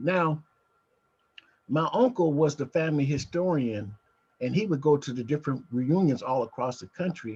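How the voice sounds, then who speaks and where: With lively intonation and a somewhat breathy sound, a man speaks in a fairly high pitch, leaving long, frequent pauses. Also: moderate pace. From Nebraska (Omaha). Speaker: genealogy group organizer. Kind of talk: video call meeting introductions. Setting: video call. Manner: halting.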